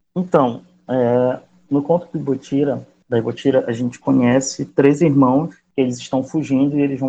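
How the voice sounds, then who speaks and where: At a moderate pace, a man talks in a medium pitch with a dark, mellow tone. His intonation stays monotone and flat. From Macapá, Amapá, northern Brazil. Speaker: writer. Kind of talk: interview.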